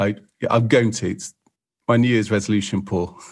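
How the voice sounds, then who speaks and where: A man talks at a moderate pace with fairly low pitch, vocal fry, and fairly even intonation. The background is quiet. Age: 30s. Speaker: photographer. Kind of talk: casual chat. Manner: halting.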